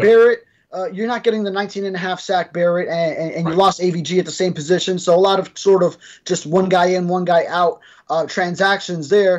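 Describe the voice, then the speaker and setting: Against a quiet background, the speech moves at a fairly quick pace. Intonation stays fairly even. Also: man, high pitch for a man. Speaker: sports reporter co-host. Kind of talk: sports discussion commentary. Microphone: video call.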